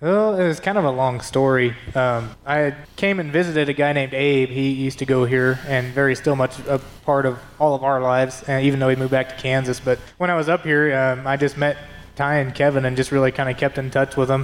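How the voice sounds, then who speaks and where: A man with a normal speaking voice talks at a medium pitch. His pace is fairly quick, with fairly even intonation. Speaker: ministry intern. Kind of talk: casual interview.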